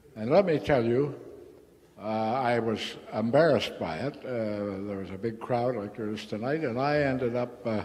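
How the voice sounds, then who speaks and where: The speech moves at a moderate pace with ordinary pitch variation. Noticeable background noise and audible room echo are present. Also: man, medium pitch for a man. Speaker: recovering alcoholic speaker. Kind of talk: AA meeting talk. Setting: meeting hall with audience. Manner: casual, halting with fillers.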